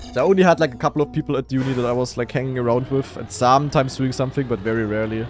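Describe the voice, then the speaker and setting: A man's medium-pitched voice with a German accent, at a very fast pace amid noticeable background noise. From Germany. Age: 20s. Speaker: esports player and streamer. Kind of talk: casual live stream chat. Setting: live stream.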